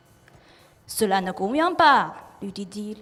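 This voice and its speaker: With music playing in the background, a woman speaks at a very slow pace. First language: Chinese (speaking French). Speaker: artist. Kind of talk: reading aloud. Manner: careful articulation; loud.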